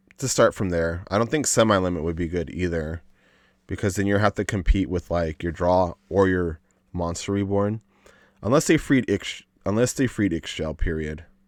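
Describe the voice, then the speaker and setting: In a very clean recording with a silent background and a dry, close sound with no echo, a man with a very deep, low voice speaks at a moderate pace with ordinary pitch variation. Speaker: gaming content creator. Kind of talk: casual commentary on livestream. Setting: livestream. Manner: halting, filler-heavy.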